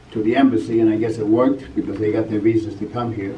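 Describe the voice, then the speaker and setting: A man with an American accent, ordinary pitch variation, and audible room echo. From California. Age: 60s. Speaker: martial arts teacher. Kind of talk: award acceptance speech. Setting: banquet stage with audience.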